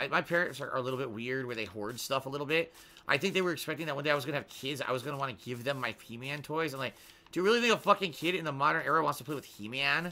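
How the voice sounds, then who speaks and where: A man with an American accent, a fairly high pitch, an animated tone and lively intonation, at a very fast pace. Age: 30s. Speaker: gaming streamer. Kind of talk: casual live stream chat. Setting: home office with soundproofing foam.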